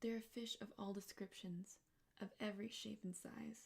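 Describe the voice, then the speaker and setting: Soft-spoken words come at a very slow pace. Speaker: ASMR artist. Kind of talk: bedtime story reading. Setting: studio.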